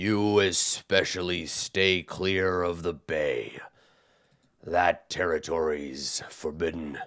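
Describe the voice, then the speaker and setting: A man puts on a character voice that is raspy and very deep and low in pitch. He speaks at a very slow pace. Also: fairly even intonation, very clean recording, silent background. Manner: stern warning.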